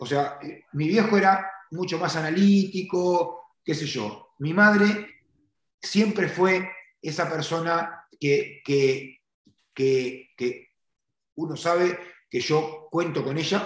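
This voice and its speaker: A high-pitched man with a Uruguayan accent, very slow and lively in intonation, with long, frequent pauses and audible room echo. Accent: Uruguayan Spanish (rioplatense). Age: 40s. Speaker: car detailing entrepreneur and trainer. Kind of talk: interview conversation.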